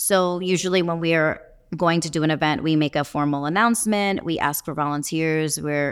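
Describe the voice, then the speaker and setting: Speaking at a fairly quick pace, a woman with a very deep, low pitch keeps her intonation fairly even on a very clean recording with a silent background. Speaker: veterinarian and nonprofit founder. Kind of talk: interview. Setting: on site at a conference.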